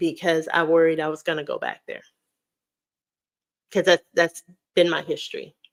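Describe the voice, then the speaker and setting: A woman's animated tone. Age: 40s. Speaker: weight loss vlogger and high school teacher. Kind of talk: live stream Q&A chat. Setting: live stream.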